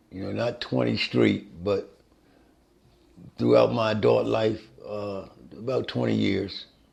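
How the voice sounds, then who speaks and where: A man speaks at a moderate pace. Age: 60s. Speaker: formerly incarcerated person. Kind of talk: documentary interview.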